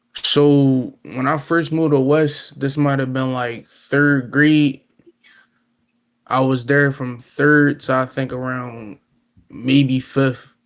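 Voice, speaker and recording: Very slowly and in a monotone, flat intonation, a man speaks at medium pitch. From Chester, Pennsylvania (Philadelphia area). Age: 20s. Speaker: camera man. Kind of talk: casual interview.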